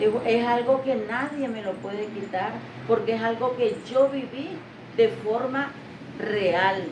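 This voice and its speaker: A woman with a Nicaraguan accent at a very slow pace, her fairly high pitch moving with ordinary variation, over noticeable background noise and audible room echo. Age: 60s. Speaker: retired literacy teacher. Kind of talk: interview.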